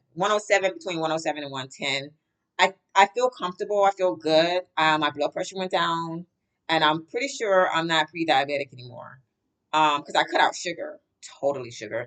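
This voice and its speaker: Here is an unremarkable speaking voice with lively intonation. Its loudness swings a lot. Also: woman, fairly low pitch for a woman, fairly quick pace. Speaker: vlogger. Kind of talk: casual vlog chat. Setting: at work, on camera. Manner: rambling, conversational.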